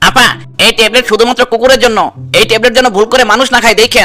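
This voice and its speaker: A man performs a cartoonish character voice at an extremely high pitch. He races at a very fast pace in a monotone, flat delivery. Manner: chatty, teasing.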